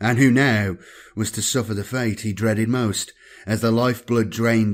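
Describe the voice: The passage gets a plain reading aloud, its intonation kept fairly even.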